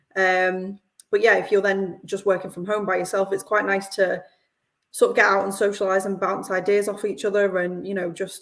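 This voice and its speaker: Speaking at a fairly quick pace, a woman with a northern English accent holds a medium pitch. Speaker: company representative. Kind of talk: live podcast interview.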